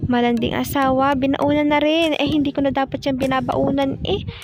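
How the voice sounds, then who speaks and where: Over music in the background, a woman speaks at a high pitch and a moderate pace. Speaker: vlogger. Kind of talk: vlog narration. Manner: low-energy.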